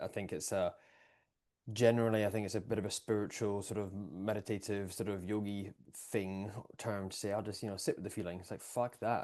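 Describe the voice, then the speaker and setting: A man with an Edinburgh accent speaks at a fairly low pitch and a fairly quick pace in a dark, mellow tone. His intonation is monotone and flat, and the background is quiet. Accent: Scottish (Edinburgh). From Scotland, Edinburgh. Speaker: breathwork and performance coach. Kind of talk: casual podcast conversation.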